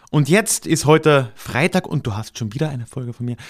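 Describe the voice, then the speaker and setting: A man with a slight Austrian accent at a moderate pace, in a very clean recording with a silent background. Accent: mild Austrian. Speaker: podcast host, historian. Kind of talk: podcast intro and outro monologue.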